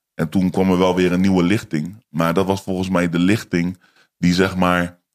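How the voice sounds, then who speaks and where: A man is talking. His voice is pitched very deep and low. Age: 20s. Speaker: YouTuber and rapper. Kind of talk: casual chat. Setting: studio.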